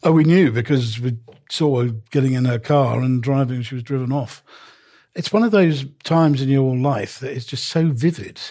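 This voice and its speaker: A man's dark, mellow voice at medium pitch and a moderate pace. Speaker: newspaper columnist. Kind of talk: casual chat.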